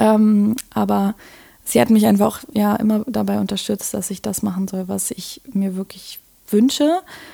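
The voice moves at a fairly slow pace and sounds somewhat breathy. Its tone is dark and mellow, with ordinary pitch variation. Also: woman, medium pitch for a woman. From Berlin, Germany. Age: 20s. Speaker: design student and podcaster. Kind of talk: interview conversation. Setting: in person, Berlin.

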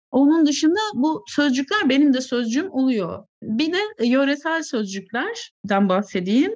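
At a fairly slow pace, a woman speaks with a high pitch and very wide pitch swings. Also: hardly any pauses. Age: 30s. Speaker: short story writer. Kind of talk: casual interview chat.

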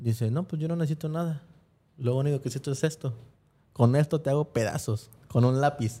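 On a very clean recording with a silent background, a man talks at a fairly quick pace. His fairly high voice is somewhat breathy, with a dark, mellow tone. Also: ordinary pitch variation. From Mexico, Guerrero (Acapulco). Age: 30s. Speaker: former track athlete. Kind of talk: casual chat. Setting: studio.

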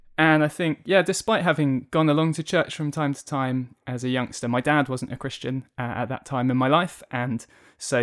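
A man speaks at a fairly quick pace with a southern English accent. The recording is very clean, with a silent background. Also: dry, close sound with no echo. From southern England, Kent. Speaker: charity communications and media worker. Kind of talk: interview testimony. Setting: office recording, face to face.

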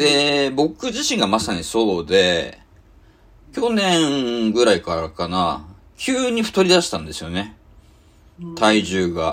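A man at medium pitch talks at a very slow pace with very wide pitch swings. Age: 40s. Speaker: podcast host, web magazine editor-in-chief. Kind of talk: casual chat.

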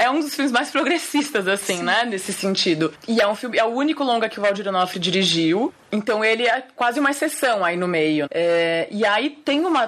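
A woman talks at a moderate pace with hardly any pauses, her fairly high voice swinging very widely in pitch. Noticeable background noise is present. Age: 30s. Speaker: film director. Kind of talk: interview.

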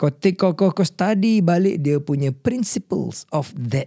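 Recorded very cleanly against a silent background, a man with a dark, mellow tone speaks at a very slow pace, the sound dry and close with no echo. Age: 50s. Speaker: podcast host. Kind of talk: casual chat. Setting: studio.

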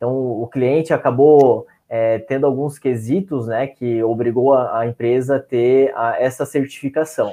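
A man with a normal speaking voice talks at a medium pitch and a fairly slow pace. His intonation is fairly even, with hardly any pauses. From Santa Catarina, Brazil (São Francisco do Sul). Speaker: occupational safety professional. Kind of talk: online panel discussion.

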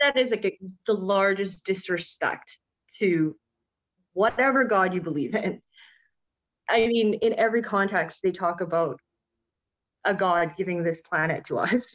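At a moderate pace, a woman with a medium-pitched voice keeps her loudness very even, using ordinary pitch variation and long, frequent pauses. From Canada. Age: 30s. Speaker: conservationist and wildlife photographer. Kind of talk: casual interview conversation.

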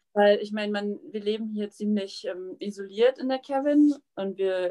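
The speaker is a woman at a medium pitch, with ordinary pitch variation. She has an unremarkable speaking voice. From Germany, Witten near Cologne. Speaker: emigrant living in the wilderness. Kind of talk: casual interview. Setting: video call from a cabin.

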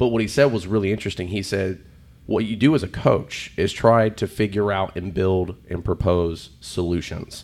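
This man has an ordinary speaking voice, pitched fairly low, with ordinary pitch variation and a moderate pace. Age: 30s. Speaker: podcast host and nutrition coach. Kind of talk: casual chat.

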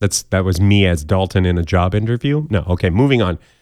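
On a very clean recording with a silent background and a dry, close sound with no echo, a man speaks at a moderate pace with lively intonation. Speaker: podcast host. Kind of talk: casual comedic news roundup. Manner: animated.

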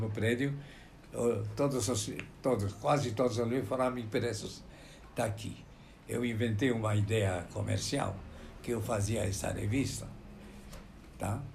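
With audible room echo, a man at medium pitch talks at a fairly slow pace with vocal fry, fairly even intonation, and long, frequent pauses. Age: 80s+. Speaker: medical publisher. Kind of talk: interview. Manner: halting.

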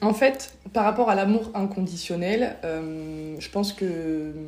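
Audible room echo surrounds a woman speaking at medium pitch with a dark, mellow tone and fairly even intonation. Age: 20s. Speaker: podcast guest. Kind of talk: casual chat.

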